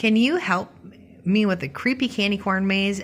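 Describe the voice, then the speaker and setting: In a squeaky, put-on character voice that sounds female, the speaker uses a medium pitch for a woman at a moderate pace. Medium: read story.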